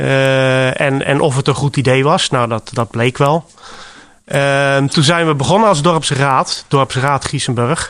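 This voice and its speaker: Very slowly and with very even loudness, a man speaks at a fairly high pitch with fairly even intonation. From Rotterdam, Netherlands. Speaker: village council volunteer. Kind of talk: radio interview. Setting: village library. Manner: halting, many fillers.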